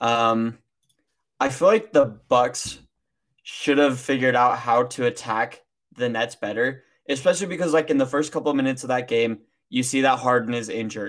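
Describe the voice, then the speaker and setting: A man talks in a normal speaking voice at medium pitch, with ordinary pitch variation and a moderate pace, on a very clean recording with a silent background. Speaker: podcast co-host. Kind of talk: casual sports talk.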